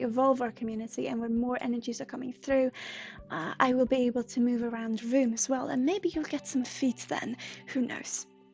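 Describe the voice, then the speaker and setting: A woman speaks at a fairly quick pace in a Swedish accent. Her pitch is high and her intonation fairly even. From Sweden. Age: 20s. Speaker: psychic livestreamer. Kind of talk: livestream chat. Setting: livestream from a room. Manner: halting.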